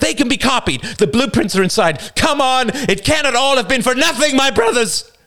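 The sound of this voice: A man shouting in a put-on character voice, extremely high-pitched, with a bright, sharp tone, lively intonation and a fairly quick pace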